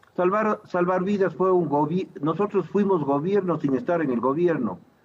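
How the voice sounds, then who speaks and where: Over music in the background, a man with a fairly high pitch talks at a fairly slow pace with ordinary pitch variation. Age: 60s. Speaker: physician and political candidate. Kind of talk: TV interview.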